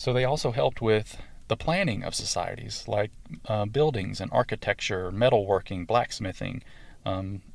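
Here a man talks with a Southern US accent at a moderate pace and a fairly low pitch. The recording is very clean, with a silent background. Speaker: podcast host. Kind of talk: scripted-style solo talk about druidry, educational monologue. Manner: hesitant, filler words, conversational.

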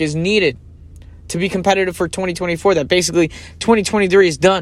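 A man speaks with a high pitch. His pace is very fast. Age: 30s. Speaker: podcast host. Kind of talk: solo podcast commentary. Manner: casual, conversational.

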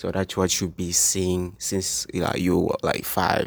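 A man's very deep, low voice in an East African accent at a moderate pace, on a very clean recording with a silent background. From Tanzania. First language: Swahili. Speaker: business student. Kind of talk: interview.

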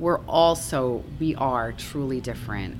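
A woman with an American accent at a very slow pace, with noticeable background noise and audible room echo. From US Northeast (Long Island, New York). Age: 40s. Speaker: bar and music venue owner. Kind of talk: casual interview. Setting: on a venue stage.

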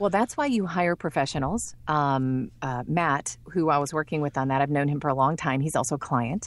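A woman with a Midwestern American accent and a very deep, low pitch, ordinary pitch variation, very even loudness, a moderate pace and hardly any pauses, in a very clean recording with a silent background. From Michigan, US. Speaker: voice actor. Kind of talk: interview.

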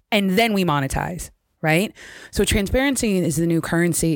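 In an unremarkable speaking voice, a woman talks at a moderate pace and fairly low pitch with ordinary pitch variation. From US, Jamaican parents, born in London. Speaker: entertainment lawyer. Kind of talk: podcast interview.

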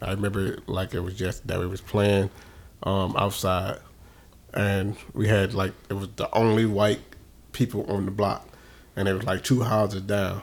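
The man keeps a moderate pace but stops often for long pauses. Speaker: podcast co-host. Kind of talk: casual chat. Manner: loud; animated.

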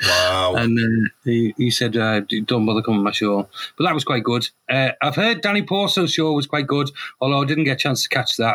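A man with a Teesside accent speaks at a fairly quick pace in a medium pitch, his tone bright and sharp. His intonation is lively, and the sound is dry and close with no echo. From northern England, Middlesbrough. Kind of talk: casual chat. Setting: studio.

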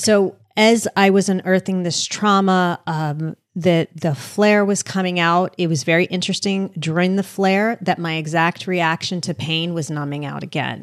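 With an American accent, a woman in an ordinary speaking voice talks at a moderate pace with hardly any pauses, her pitch fairly low and intonation fairly even, the sound dry and close with no echo on a very clean recording with a silent background. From US Northeast, suburban New Jersey. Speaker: author and podcaster. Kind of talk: casual interview.

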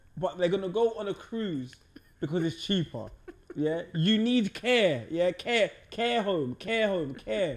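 A man's high-pitched voice with lively intonation at a very slow pace. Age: 30s. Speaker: podcast host. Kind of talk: casual chat.

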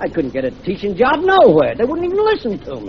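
A very fast Brooklyn accent with big swings in loudness over noticeable background noise. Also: man. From Brooklyn, New York. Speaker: radio drama character, language teacher. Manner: excitable, shouty when agitated.

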